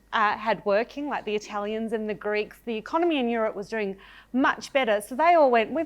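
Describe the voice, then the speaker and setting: Lively intonation and an Australian accent come through against a quiet background. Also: woman. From Australia (Victoria, Shepparton). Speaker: storyteller, broadcaster. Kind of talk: storytelling talk.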